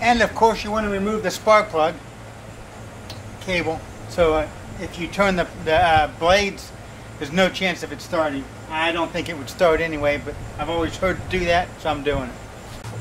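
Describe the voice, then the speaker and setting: With light background noise behind him, a high-pitched man talks at a moderate pace, with ordinary pitch variation and long, frequent pauses. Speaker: home DIY vlogger. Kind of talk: tutorial. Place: street.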